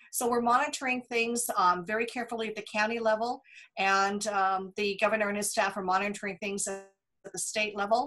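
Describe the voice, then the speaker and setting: A woman talks fairly quickly while music plays in the background. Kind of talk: interview answer. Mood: calm, informative. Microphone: video call.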